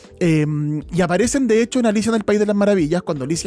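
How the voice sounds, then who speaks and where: Here a man speaks with a Chilean accent. His pitch variation is ordinary. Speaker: podcast host. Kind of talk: casual chat.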